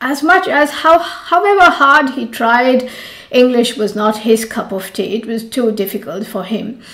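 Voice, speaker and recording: A high-pitched woman speaks at a fairly slow pace with lively intonation. Noticeable background noise runs underneath. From India, Mumbai. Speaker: yoga teacher. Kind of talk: storytelling.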